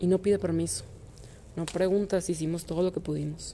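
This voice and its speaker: A woman speaks at a moderate pace with a fairly low pitch and a dark, mellow tone. Her intonation stays fairly even, with vocal fry. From Mexico, Monterrey. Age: 20s. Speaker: amateur runner. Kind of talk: scripted narration.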